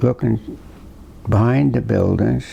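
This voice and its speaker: A man's very deep, low-pitched voice. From Slocum, Rhode Island. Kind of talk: interview answer. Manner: hesitant, reminiscing.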